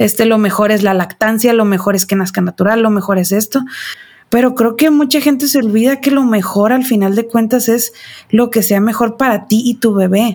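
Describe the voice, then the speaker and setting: Her voice is somewhat breathy and fairly high, with ordinary pitch variation. The woman keeps a moderate pace and very even loudness. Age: 30s. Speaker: mother. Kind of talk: casual chat.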